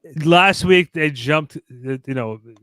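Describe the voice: Speaking slowly, a man has a fairly high pitch with ordinary pitch variation. His tone is clear and smooth, yet also bright and sharp.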